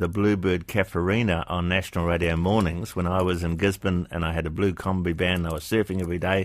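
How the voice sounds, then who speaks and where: In a New Zealand accent, a man speaks with a very deep, low pitch. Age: 70s. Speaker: radio host. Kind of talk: casual chat.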